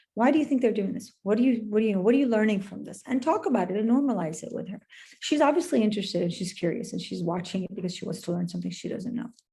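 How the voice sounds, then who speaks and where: Talking very fast with hardly any pauses, a woman has a dark, mellow, somewhat breathy tone, lively intonation and big swings in loudness. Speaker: parenting expert. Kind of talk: webinar talk.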